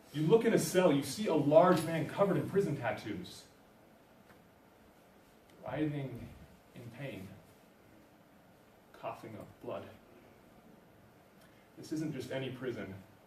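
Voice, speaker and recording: A man's fairly high voice with very wide pitch swings and long, frequent pauses, set against noticeable background noise. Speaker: university student. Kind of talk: slam poetry performance.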